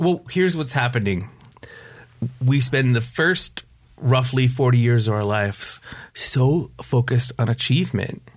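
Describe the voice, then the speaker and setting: A man speaks at a fairly slow pace and medium pitch, with ordinary pitch variation and long, frequent pauses. His voice is somewhat breathy, over a quiet background. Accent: American. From upstate New York. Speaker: recovery coach. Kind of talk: interview.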